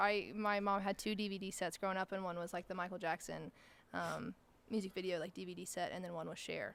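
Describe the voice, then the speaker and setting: This is a woman speaking. Her voice carries vocal fry. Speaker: country singer-songwriter. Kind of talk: interview answer. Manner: casual, chatty.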